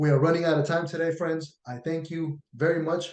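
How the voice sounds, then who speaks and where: Here a man talks in an animated tone at a moderate pace. His pitch is fairly high. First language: not English. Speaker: union activist and video show host. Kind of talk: presentation with screen share.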